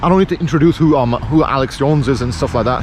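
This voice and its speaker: Over noticeable background noise, a man talks at a very fast pace with a fairly high pitch and ordinary pitch variation. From Pakistan. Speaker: vlogger. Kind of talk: casual vlog monologue. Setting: outdoors by a road. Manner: halting, repetitive.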